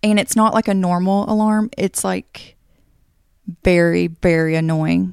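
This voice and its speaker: Recorded very cleanly against a silent background with a dry, close sound and no echo, a woman with a plain, everyday voice speaks at a fairly low pitch and a fairly slow pace, with ordinary pitch variation and very even loudness. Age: 20s. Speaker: podcast co-host. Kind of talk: casual chat.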